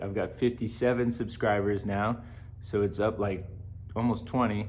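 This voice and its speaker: A man speaks with fairly even intonation, with audible room echo around him. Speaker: vlogger and substitute teacher. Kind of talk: casual vlog monologue. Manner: slow; halting, many filler words.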